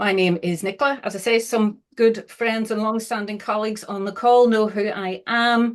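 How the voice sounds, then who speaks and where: A woman speaks with a Northern Irish accent. The background is quiet. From Northern Ireland. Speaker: social value consultant and trainer. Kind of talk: webinar presentation. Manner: hesitant, many fillers.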